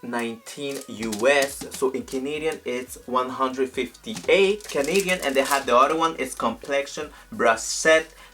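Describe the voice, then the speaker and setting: The speaker has a French accent and a fairly slow pace. Noticeable background noise runs underneath. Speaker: beauty youtuber. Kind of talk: product unboxing and review vlog. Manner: animated.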